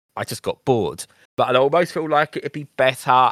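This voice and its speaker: Talking fairly quickly, a man keeps his pitch variation ordinary. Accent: British. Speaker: gaming podcast host. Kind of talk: casual chat. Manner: animated.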